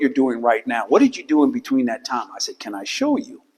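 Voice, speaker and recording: A man with an American accent speaks fairly quickly with lively intonation at a fairly high pitch, in an ordinary speaking voice. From California, Silicon Valley. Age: 60s. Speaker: visual artist. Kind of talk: gallery talk to audience. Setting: art gallery with audience.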